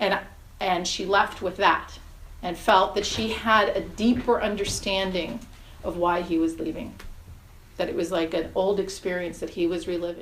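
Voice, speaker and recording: In an American accent, a woman talks at a moderate pace and medium pitch. Her intonation is fairly even, with audible room echo. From New York. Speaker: hypnotherapist. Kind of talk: interview.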